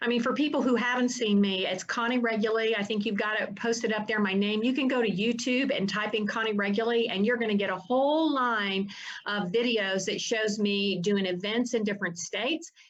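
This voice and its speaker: A woman with a Southern US accent talks at a fairly quick pace and a fairly high pitch, with hardly any pauses. Her loudness stays very even, her pitch varies in an ordinary way, and audible room echo surrounds her. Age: 60s. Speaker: attorney and family rights activist. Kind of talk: interview.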